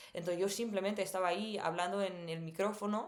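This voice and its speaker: A woman with an English accent, fairly even intonation and audible room echo. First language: English (speaking Spanish). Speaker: missionary and language teacher vlogger. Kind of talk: personal storytelling. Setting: recording at home at night. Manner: many filler sounds.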